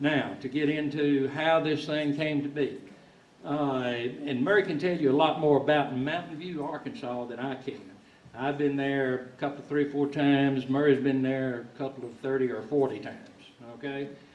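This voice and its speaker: A man with a Southern US accent talks at a moderate pace, his pitch fairly high and his intonation fairly even. The room echo is audible and background noise is noticeable. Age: 60s. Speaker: musician telling a story. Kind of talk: storytelling to an audience. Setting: stage in a log concert hall with audience. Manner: halting, with many repeated words.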